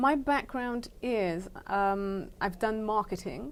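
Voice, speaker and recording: A woman with a British accent speaks with ordinary pitch variation. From England and the Caribbean. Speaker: education charity founder. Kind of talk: interview.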